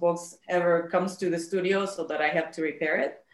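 A woman talks at a fairly quick pace with a Spanish accent. Her fairly low voice stays monotone and flat. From Mexico, Monterrey. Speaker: bookbinder. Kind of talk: interview.

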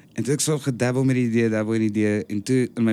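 A man with an unremarkable speaking voice, fairly low in pitch, at a fairly quick pace with fairly even intonation, on a very clean recording with a silent background. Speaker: stage and TV actor. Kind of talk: casual chat. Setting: on a stoep (porch).

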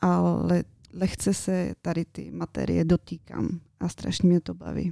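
A woman speaks very slowly with a Bulgarian accent. The sound is dry and close, with no echo. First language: Bulgarian (speaking Czech). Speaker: interior designer. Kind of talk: radio interview.

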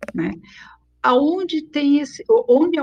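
Her pitch swings very widely. This woman keeps a fairly slow pace. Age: 50s. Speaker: psychologist and recruitment company founder. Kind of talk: interview.

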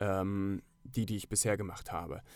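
A moderately paced male voice, very cleanly recorded against total silence. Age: 30s. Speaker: actor and filmmaker. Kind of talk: casual chat.

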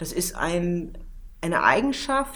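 A woman speaking at a very slow pace, with audible room echo. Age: 40s. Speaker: PR manager and travel journalist. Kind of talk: interview.

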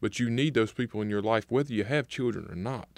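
A man talks with a Mississippi accent. The background is quiet. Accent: Southern US (Mississippi). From US South, Natchez, Mississippi. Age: 20s. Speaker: project manager. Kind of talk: casual interview chat. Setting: studio. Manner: animated.

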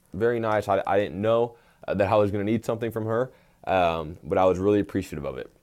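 At a very fast pace, a man with an American accent speaks at a fairly low pitch with ordinary pitch variation, recorded very cleanly against a silent background. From Texas, Tyler. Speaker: college basketball coach, podcast host. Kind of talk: solo podcast monologue, personal story.

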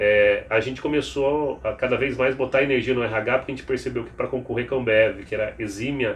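A somewhat breathy man at a medium pitch, monotone and flat in intonation, at a fairly quick pace. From Piracicaba, São Paulo state, Brazil. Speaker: HR executive. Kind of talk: interview conversation.

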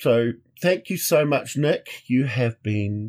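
A man with a medium-pitched voice and a dark, mellow tone talks with lively intonation. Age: 40s. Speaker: podcast host. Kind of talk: casual chat.

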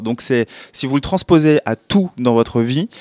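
A man talks fairly slowly, and his pitch varies in an ordinary way. The recording is very clean, and the background is silent. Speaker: documentary filmmaker. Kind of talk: interview. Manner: hesitant, repeats words.

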